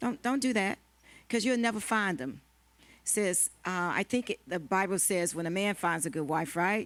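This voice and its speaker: A woman with a plain, everyday voice speaks at medium pitch and a moderate pace with lively intonation, on a very clean recording with a silent background. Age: 60s. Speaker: panelist at a women's marriage conference. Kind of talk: panel discussion.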